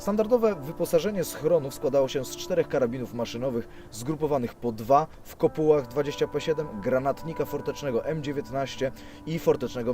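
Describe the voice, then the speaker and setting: A man speaks at a very fast pace with lively intonation and a fairly high pitch, with music playing in the background. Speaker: on-screen host, urban explorer. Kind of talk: documentary presentation on location.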